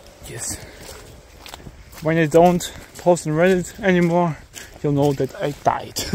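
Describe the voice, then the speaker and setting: Over noticeable background noise, a man with a high voice speaks at a fairly slow pace, using fairly even intonation and long, frequent pauses. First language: German. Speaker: amateur video uploader. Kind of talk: casual vlog narration. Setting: outdoors in a forest. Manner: halting.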